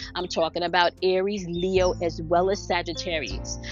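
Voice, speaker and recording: Clear music plays in the background as a woman speaks at a moderate pace, her sound dry with no echo. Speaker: spiritual coach. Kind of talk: spiritual daily message monologue. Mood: warm, upbeat. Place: open country.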